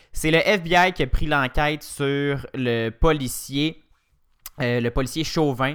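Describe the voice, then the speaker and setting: A man's medium-pitched voice at a very slow pace, with ordinary pitch variation, in a very clean recording over a silent background. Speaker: news podcast host. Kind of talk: morning news chat.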